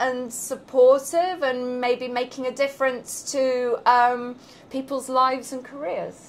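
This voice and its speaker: A woman speaks in a high pitch with a British accent. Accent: non-New York, British. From London, England. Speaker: business professor. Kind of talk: interview. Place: office. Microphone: lapel.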